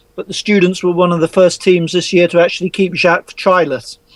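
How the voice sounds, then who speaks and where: A man with an English accent speaks at a fairly quick pace in a high pitch, with a dry, close sound and no echo. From England. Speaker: rugby journalist. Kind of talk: casual chat.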